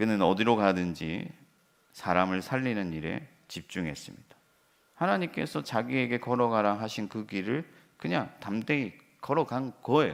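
With lively intonation, a man in a normal speaking voice talks at a moderate pace and fairly low pitch in a very clean recording with a silent background. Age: 40s. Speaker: pastor. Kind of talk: sermon.

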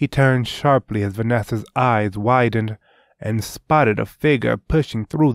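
Someone reads aloud in a natural voice, pitch varying in an ordinary way, and the background is quiet.

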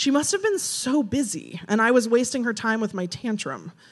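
A natural voice reading aloud, its pitch varying in an ordinary way

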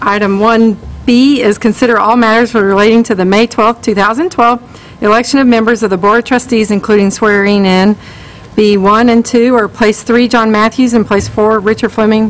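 A woman at a moderate pace, with very even loudness and fairly even intonation. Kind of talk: formal meeting chairing. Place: hall. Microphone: podium.

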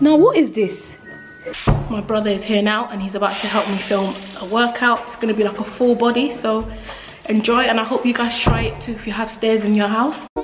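Faint music plays behind a woman speaking at a fairly quick pace. Her intonation stays fairly even. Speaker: mother vlogger. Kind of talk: casual vlog chat. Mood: chatty, relaxed. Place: home room. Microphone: phone near.

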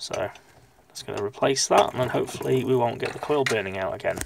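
The sound is dry, with no echo, and noticeable background noise is present. A man speaks at a fairly quick pace. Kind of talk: repair tutorial. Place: workshop. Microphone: phone near.

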